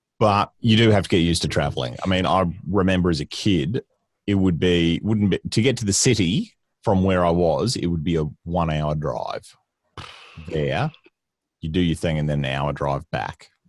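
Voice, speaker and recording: Moderate-paced speech in a Queensland accent, with ordinary pitch variation, on a very clean recording with a silent background. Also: man, very deep, low pitch for a man. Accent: Australian, Queensland. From Queensland, Australia (rural farming town). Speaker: comedian and voice-over artist. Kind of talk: casual chat.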